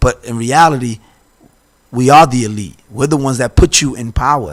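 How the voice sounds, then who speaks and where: Here is a man with a plain, everyday voice at medium pitch and ordinary pitch variation. He talks at a moderate pace with big swings in loudness. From Boston. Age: 40s. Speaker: city council candidate. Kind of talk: interview.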